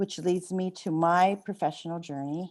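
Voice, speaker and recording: A woman with an American accent, fairly low-pitched and dark, mellow in tone, fairly slow with fairly even intonation, over a quiet background. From San Francisco, California. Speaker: retired school superintendent. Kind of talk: talk to an audience. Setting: seminar with audience.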